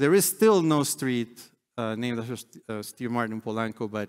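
Here a man speaks at a moderate pace. His pitch varies in an ordinary way over a quiet background. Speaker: finance expert; conference speaker. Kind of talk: public talk. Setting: stage with audience. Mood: light, humorous. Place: stage. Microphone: headset.

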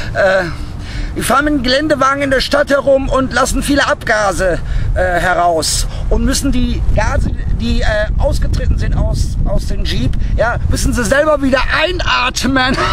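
Against noticeable background noise, a man speaks at a moderate pace with long, frequent pauses, and the sound is dry with no echo. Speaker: comic self-made video performer. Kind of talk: casual humorous monologue. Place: open country. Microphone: phone near.

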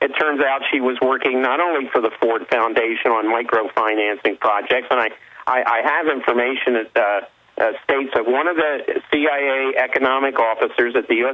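The speech moves at a fairly quick pace with very even loudness against a quiet background. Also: man. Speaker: investigative journalist guest. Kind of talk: interview answer. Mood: earnest, investigative. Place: studio.

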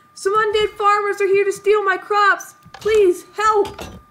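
Putting on a character voice, a woman speaks at an extremely high pitch and a fairly slow pace, her intonation monotone and flat. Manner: frightened, pleading.

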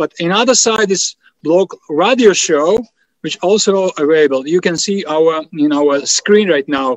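A man with a Georgian accent, high in pitch, at a moderate pace, with ordinary pitch variation. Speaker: think tank president; host introducing the speaker. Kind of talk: event moderation and Q&A; event introduction. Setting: video call. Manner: halting. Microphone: video call.

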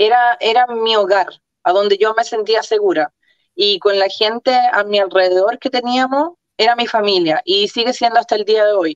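A woman talks at a moderate pace with a fairly high pitch and ordinary pitch variation, her loudness very even. The sound is dry with no echo, and the background is quiet. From Chile. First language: Croatian (speaking Spanish). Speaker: football fan, coach's daughter; coach's daughter. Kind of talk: interview. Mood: warm, emotional. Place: home room. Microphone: video call.

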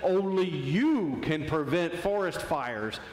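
In a put-on character voice with a slight echo, a man speaks at a high pitch and a fairly slow pace. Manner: authoritative public-service address.

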